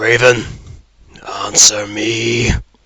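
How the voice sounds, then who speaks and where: A man puts on a raspy character voice at medium pitch. He delivers it in a flat monotone. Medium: audio drama. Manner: imperious, disdainful.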